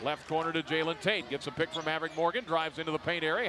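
The voice has an animated tone, with noticeable background noise behind it. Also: man. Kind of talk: live sports commentary. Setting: basketball game broadcast. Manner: rapid-fire play-by-play, animated, pitched up on big shots; chatty, laughs at odd plays.

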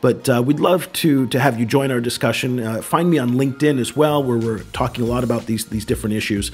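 A man with an American accent talks at a very fast pace with hardly any pauses, his medium pitch moving with ordinary variation over music in the background. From United States. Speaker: podcast host. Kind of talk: casual discussion.

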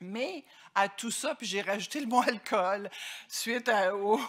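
A woman's bright, sharp tone sits at medium pitch with ordinary pitch variation over a quiet background. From Quebec. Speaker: dietitian association president. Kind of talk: conference talk. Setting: stage with audience. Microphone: podium.

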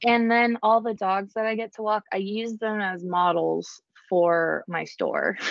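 A woman with an American accent speaks in a normal speaking voice at a fairly slow pace. Her pitch is fairly high and her intonation fairly even. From New Jersey. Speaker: small business owner. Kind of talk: casual interview.

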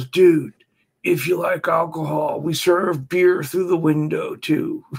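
A man speaks slowly-ish in a put-on character voice pitched high, at a fairly slow pace.

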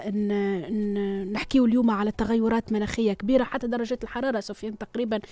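A woman talks at a moderate pace with fairly even intonation. Her tone is dark and mellow. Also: dry sound with no echo. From Tunisia. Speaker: radio host. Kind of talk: live radio news discussion. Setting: studio. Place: studio. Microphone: studio mic.

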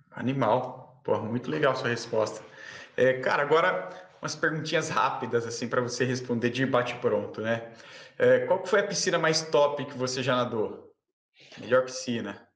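A man speaks with ordinary pitch variation. Audible room echo is present. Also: medium pitch for a man, moderate pace. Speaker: swimming channel host. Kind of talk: casual interview. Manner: animated.

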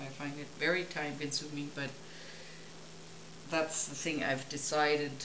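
Over noticeable background noise, a woman speaks with a very deep, low pitch. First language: not English. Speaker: painter. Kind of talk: casual talk while working. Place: home room.

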